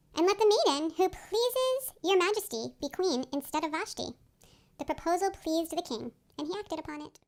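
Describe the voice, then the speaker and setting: A squeaky, put-on character voice with lively intonation at a fairly quick pace. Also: woman, extremely high pitch for a woman. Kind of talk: liturgical scripture reading. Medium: stage play. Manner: measured, formal.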